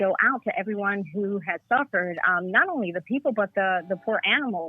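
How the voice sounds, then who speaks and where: A woman with an ordinary speaking voice and an American accent talks at a moderate pace, in medium pitch with ordinary pitch variation. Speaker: caller. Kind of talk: casual chat. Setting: phone call.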